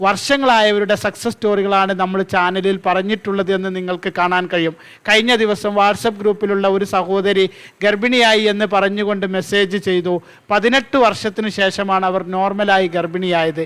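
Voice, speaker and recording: A high-pitched male voice with fairly even intonation, on a very clean recording with a silent background. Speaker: fertility and pregnancy advice YouTuber. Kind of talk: monologue to camera, advice talk.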